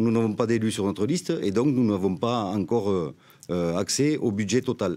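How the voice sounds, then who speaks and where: In a dark, mellow tone and a fairly low pitch, a man speaks at a moderate pace with lively intonation and very even loudness against a quiet background. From Graulhet, Tarn, southern France; Tarn, France. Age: 50s. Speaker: independent mayoral candidate, business manager; candidate. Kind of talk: political debate. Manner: halting. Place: studio. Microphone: studio mic.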